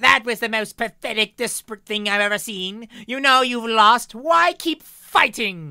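A female-sounding, put-on character voice, fairly high in pitch, runs on with hardly any pauses over a very clean recording with a silent background. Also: moderate pace. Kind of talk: reading aloud from a novel. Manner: obnoxious, mocking.

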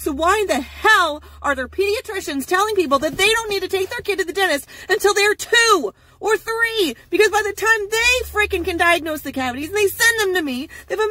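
A woman projects her voice loudly with a bright, sharp tone. The sound is dry, without any echo. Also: fairly quick pace. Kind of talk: ranting advice vlog. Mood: frustrated, indignant. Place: car. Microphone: phone near.

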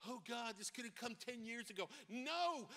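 Raised and projected, the voice has a bright, sharp tone and an American accent at a moderate pace. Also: man, quiet background. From New York. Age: 60s. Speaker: pastor. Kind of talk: sermon. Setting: church. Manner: animated. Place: church. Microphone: handheld.

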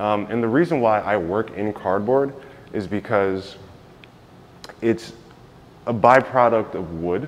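A man with an American accent talks fairly slowly in a fairly low voice, pausing long and often. His pitch varies in an ordinary way. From New York. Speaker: visual artist. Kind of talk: gallery tour talk. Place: hall. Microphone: phone near.

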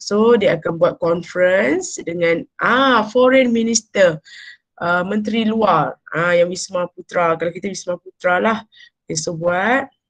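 A woman speaks fairly slowly in an unremarkable speaking voice at medium pitch. Her pitch variation is ordinary, and the background is quiet. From Malaysia. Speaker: university lecturer. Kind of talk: lecture. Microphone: webcam.

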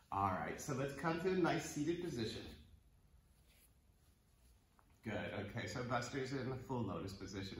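Audible room echo is present. A man speaks through it at a moderate pace. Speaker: yoga teacher. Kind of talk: instructional class intro. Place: home room. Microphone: camera far.

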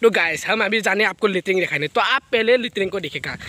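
A man talks at a fast pace in a high pitch, his tone bright and sharp and his intonation lively.

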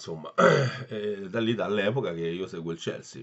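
Over a quiet background, a man with a fairly low voice speaks at a moderate pace. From Italy. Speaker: football fan vlogger. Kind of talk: angry rant. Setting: solo home video. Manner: ranting, agitated, swearing and repeating himself; opinionated, casual and blunt, addressing viewers. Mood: frustrated, disappointed fan. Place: home room. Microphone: phone near.

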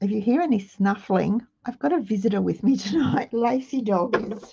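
Her tone dark and mellow and somewhat breathy, a woman speaks at a fairly slow pace with ordinary pitch variation against a quiet background. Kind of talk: tutorial. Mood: cheerful, chatty. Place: home room.

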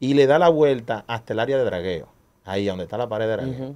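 A man speaks with a Dominican accent in a dark, mellow tone. His pitch is medium and his intonation lively. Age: 30s. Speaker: street racing event organizer. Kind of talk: casual chat. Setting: studio.

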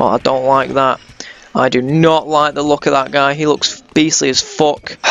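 Against noticeable background noise, a man with a fairly high pitch and ordinary pitch variation speaks at a fairly slow pace. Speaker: gaming YouTuber. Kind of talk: video game let's play commentary; angry rant, swearing at the game mid-fight. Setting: home recording, gameplay with voiceover. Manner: animated, loud, excitable, shouting panicked repeated curses; casual, sweary, jokey.

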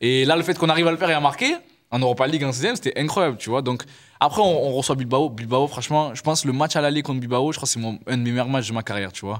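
Very fast speech from a man with a fairly high pitch, over a quiet background. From Marseille, France; France. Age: 20s. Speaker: professional footballer; guest. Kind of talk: casual interview. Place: studio. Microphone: studio mic.

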